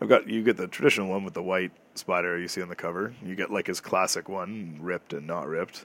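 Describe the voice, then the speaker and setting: With a Canadian accent, a man talks at a very fast pace with hardly any pauses, using a very deep, low pitch and fairly even intonation. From Canada, Toronto. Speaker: podcast host. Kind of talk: casual solo monologue. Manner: casual, with fillers.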